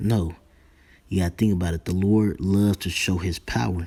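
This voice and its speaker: A man's whisper at a moderate pace, on a very clean recording with a silent background. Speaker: religious teacher. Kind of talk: sermon. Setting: at home. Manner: whispering.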